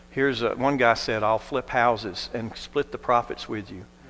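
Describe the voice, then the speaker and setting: A man with an American accent has a plain, everyday voice at medium pitch. He talks at a moderate pace with fairly even intonation. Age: 60s. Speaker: non-profit leader. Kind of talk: testimony.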